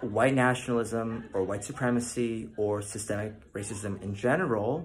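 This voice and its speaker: A man's medium-pitched voice at a fairly slow pace, with audible room echo. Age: 30s. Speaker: viewer asking a video question. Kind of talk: recorded video question.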